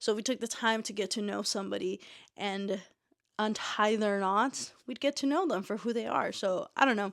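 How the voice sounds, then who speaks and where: A woman with an ordinary speaking voice talks at a moderate pace in a fairly high pitch. Her pitch variation is ordinary, and the recording is very clean with a silent background. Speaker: booktuber and indie author. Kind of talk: casual book review vlog. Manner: casual with fillers.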